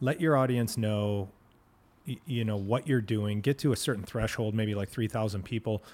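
A plain, everyday voice with an American accent, moderate pace and ordinary pitch variation, in a very clean recording over a silent background. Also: man, medium pitch for a man. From Plymouth, Michigan. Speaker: podcast host. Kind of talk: casual interview chat. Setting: studio.

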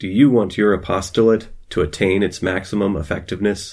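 A man's put-on character voice, fairly low in pitch and at a fairly quick pace, on a very clean recording with a silent background. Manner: salesy, pitching.

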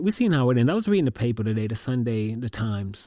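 In a very clean recording with a silent background, a man speaks at medium pitch in a dark, mellow tone. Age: 40s. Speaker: podcast host. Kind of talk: solo monologue. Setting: home. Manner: halting, many repetitions.

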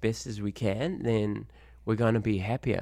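On a very clean recording with a silent background, a man with a New Zealand accent speaks at a medium pitch. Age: 30s. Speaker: kickboxing coach and educator. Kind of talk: casual interview.

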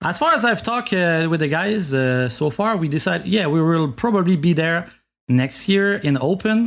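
With a Quebec accent, a man speaks at a high pitch and a moderate pace, his intonation lively and his loudness very even, against a quiet background. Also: hardly any pauses. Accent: Québécois French. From Quebec, Montreal. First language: French. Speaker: video game speedrunner. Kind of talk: casual chat. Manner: halting.

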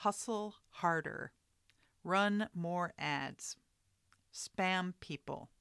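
Recorded with a dry, close sound and no echo, a woman with an American accent speaks at a very slow pace and medium pitch, using fairly even intonation and long, frequent pauses. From New York. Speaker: artist and podcast host. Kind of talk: solo podcast monologue. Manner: casual, with hesitations and fillers.

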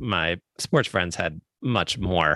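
On a very clean recording with a silent background, a man with an American accent speaks at a very deep, low pitch with ordinary variation. His tone is bright and sharp, and the sound is dry and close with no echo. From Baltimore, US. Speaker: podcast co-host, education. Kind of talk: casual chat.

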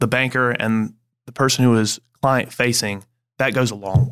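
A man with a South Carolina accent speaks at a medium pitch with fairly even intonation, music playing in the background. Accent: Southern US (South Carolina). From Greenville, South Carolina. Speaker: banker. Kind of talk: podcast interview. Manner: halting, repeats words.

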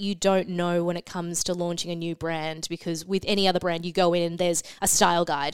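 In an Australian accent, a woman speaks at a fairly quick pace. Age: 20s. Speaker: beauty editor. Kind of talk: casual chat.

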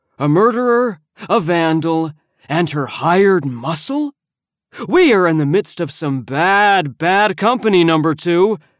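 In a put-on character voice, a man speaks raised and projected at a high pitch and fairly slow pace, with lively intonation, on a very clean recording with a silent background. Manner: mock-fearful, theatrical.

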